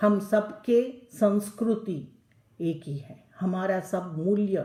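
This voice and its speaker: A woman with a dark, mellow, somewhat breathy medium-pitched voice and ordinary pitch variation is heard with audible room echo. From South India, Tamil Nadu. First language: Telugu (speaking Hindi). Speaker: lecturer. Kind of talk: lecture. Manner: halting, many fillers; mixes Hindi and English.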